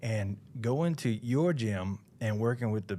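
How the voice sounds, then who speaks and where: A man with a Southern US accent talks, the recording very clean and the background silent. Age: 40s. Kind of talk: casual chat.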